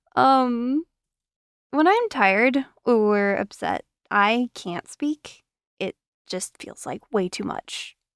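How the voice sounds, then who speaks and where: A woman with a high pitch and lively intonation speaks at a very slow pace, pausing long and often, her loudness swinging widely. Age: 20s. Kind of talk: personal vlog. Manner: emphasizes consonants.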